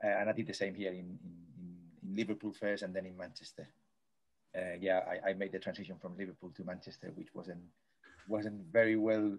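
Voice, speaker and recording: A man with a Spanish accent speaks at a fairly quick pace, his intonation fairly even, his loudness swinging widely, and his speech broken by long, frequent pauses. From Spain, Madrid. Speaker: sports coaching professor. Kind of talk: interview. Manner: high energy.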